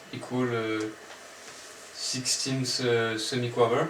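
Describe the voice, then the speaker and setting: A man with a French accent speaks very slowly at medium pitch, flat and monotone. Light background noise and audible room echo surround him. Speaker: music student applicant; music theory teacher. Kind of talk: audition presentation. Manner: halting, many fillers. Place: home room. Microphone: camera far.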